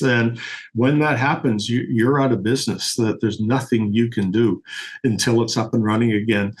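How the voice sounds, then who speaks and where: A man talks in a plain, everyday voice at a medium pitch, with ordinary pitch variation and a moderate pace. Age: 60s. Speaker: refrigeration system designer. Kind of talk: podcast interview.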